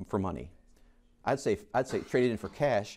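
In an American accent, a man speaks with a dark, mellow tone. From US, Rochester, New York; New York. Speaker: chemistry teacher. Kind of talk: lecture. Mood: playful, jokey. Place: classroom.

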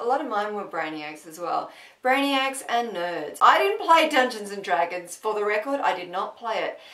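A woman with an Australian accent speaks at a moderate pace, her fairly high pitch making very wide swings. Her loudness also swings widely, with noticeable background noise behind her. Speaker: comedy vlogger. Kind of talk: casual talk to camera.

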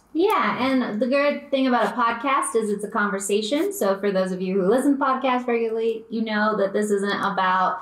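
There is audible room echo as a woman talks with ordinary pitch variation. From small town. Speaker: podcast co-host. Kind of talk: casual chat. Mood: upbeat, friendly. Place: home room.

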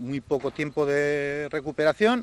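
At a fairly slow pace, a man speaks in a dry sound with no echo. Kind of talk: interview answer. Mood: enthusiastic, determined. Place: street. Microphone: handheld.

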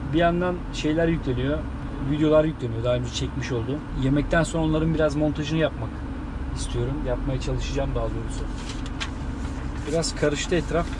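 Speech comes at a fairly quick pace with noticeable background noise. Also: man. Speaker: truck driver vlogger. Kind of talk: casual vlog chat. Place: car. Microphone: camera far.

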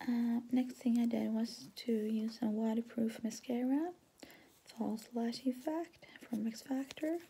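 A soft-spoken whisper comes at a very slow pace in a calm tone. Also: woman. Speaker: ASMR artist, makeup roleplay. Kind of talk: ASMR roleplay, soft-spoken makeup application. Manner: soft, whispery, calm. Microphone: phone near.

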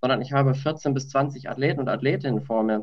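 Against a quiet background, a man talks at a fairly quick pace in a somewhat breathy voice with ordinary pitch variation. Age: 30s. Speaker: handball coach educator. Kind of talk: online panel discussion; panel discussion answer. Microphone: video call.

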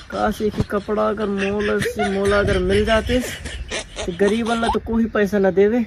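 A man talks at a fairly slow pace in a monotone, flat intonation, the sound dry with no echo and noticeable background noise behind him. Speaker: skit actor. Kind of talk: comic monologue in a skit. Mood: grumbling, self-pitying. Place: open country.

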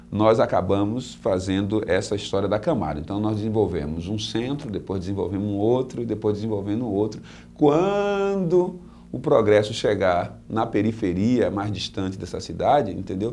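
Light background noise sits behind a man whose fairly low, dark, mellow voice moves at a moderate pace with ordinary pitch variation. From Salvador, Bahia, Brazil; Bahia, Brazil. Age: 40s. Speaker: mayoral candidate; candidate. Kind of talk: interview; interview answer. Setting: on a bus. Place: studio.

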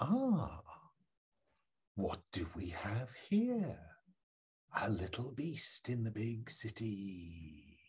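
A put-on character voice comes through at a very slow pace. Long, frequent pauses break it up. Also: man, medium pitch for a man, lively intonation. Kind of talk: theatrical. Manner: sinister, mocking.

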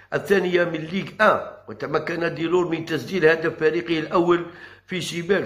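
A man talks at a high pitch in a monotone, flat intonation. The background is quiet. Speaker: football commentator vlogger. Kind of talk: football news commentary, partly read.

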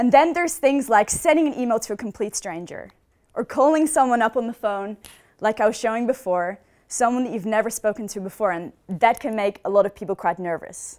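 The pace is fairly quick. A woman speaks with a quiet background. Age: 20s. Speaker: student talk speaker; speaker. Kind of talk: talk on stage. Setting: stage with audience. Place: hall. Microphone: headset.

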